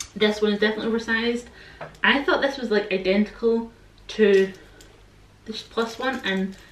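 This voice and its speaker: Amid light background noise and audible room echo, a woman with a Scottish accent speaks in a relaxed tone at a moderate pace. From Scotland. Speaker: fashion YouTuber. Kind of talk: casual talk to camera. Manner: chatty, relaxed. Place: home room. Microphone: camera far.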